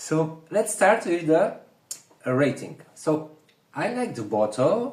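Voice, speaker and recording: A somewhat breathy man speaks fairly slowly, his pitch swinging very widely. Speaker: perfume reviewer. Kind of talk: casual review chat. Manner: whispering.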